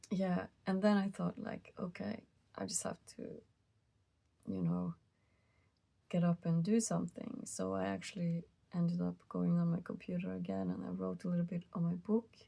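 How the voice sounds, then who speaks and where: Soft-spoken and tired in tone, a woman keeps a moderate pace broken by long, frequent pauses. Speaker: musician. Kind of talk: casual talk to camera. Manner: soft-spoken, tired, rambling.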